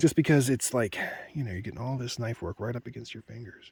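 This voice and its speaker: Soft-spoken and somewhat breathy, a man talks fairly quickly at medium pitch with ordinary pitch variation, in a dry, close sound with no echo. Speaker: woodcarver. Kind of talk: tutorial. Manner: casual.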